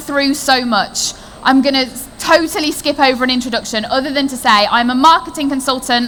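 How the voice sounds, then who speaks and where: Delivered at a moderate pace with hardly any pauses, the speech carries noticeable background noise. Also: woman. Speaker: marketing consultant. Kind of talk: conference talk. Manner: animated.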